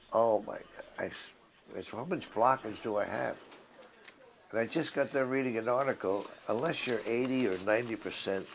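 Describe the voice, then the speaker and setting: Amid noticeable background noise, a man speaks at a medium pitch and a moderate pace with ordinary pitch variation. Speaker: patient giving testimony. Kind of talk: testimony. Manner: casual conversational.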